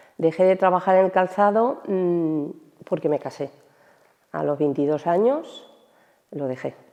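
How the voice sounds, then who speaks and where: A woman with a fairly low pitch speaks at a fairly slow pace, taking long, frequent pauses, with ordinary pitch variation over a quiet background. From Almansa, Albacete, Spain. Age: 60s. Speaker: retired shoe factory worker. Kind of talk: interview testimony. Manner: hesitant, with fillers.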